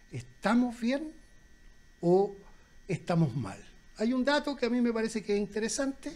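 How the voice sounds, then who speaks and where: This man talks in a high pitch with lively intonation. He leaves long, frequent pauses. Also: moderate pace. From Chile, Valparaíso; Chile. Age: 60s. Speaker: former dock worker and union leader, debater; debater. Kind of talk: public debate. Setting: restaurant with live audience. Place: cafe. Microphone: handheld.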